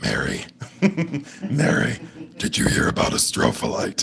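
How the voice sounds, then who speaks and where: Over clear background noise, a man performs a put-on character voice at a moderate pace. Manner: scary, weird.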